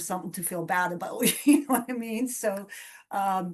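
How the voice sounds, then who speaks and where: She speaks in a plain, everyday voice at a medium pitch. The woman keeps a moderate pace. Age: 50s. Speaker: community member with nystagmus. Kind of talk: casual chat.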